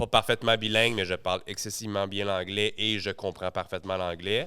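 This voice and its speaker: In a very clean recording with a silent background, a man with a strong Quebec accent speaks at a moderate pace with a fairly low pitch, fairly even intonation and a bright, sharp tone. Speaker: entrepreneur. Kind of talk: podcast interview.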